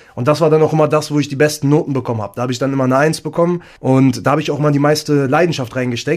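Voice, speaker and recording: This is a man's voice. His pitch sits fairly high. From Lower Saxony, Germany (Hameln). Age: 20s. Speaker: social media influencer. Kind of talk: interview.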